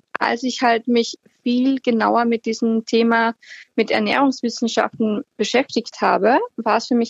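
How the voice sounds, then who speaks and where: A woman's fairly high-pitched voice with an Austrian accent and fairly even intonation, dry and close with no echo. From Austria, Upper Austria (Linz). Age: 30s. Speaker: healthy lifestyle blogger. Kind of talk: interview. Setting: phone call.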